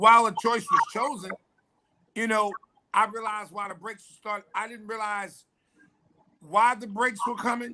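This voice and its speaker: With a raised, projected voice, a man speaks in a high pitch and a bright, sharp tone, flat and monotone in intonation, with long, frequent pauses. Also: moderate pace, big swings in loudness. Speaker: pastor. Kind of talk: testimony. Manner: loud.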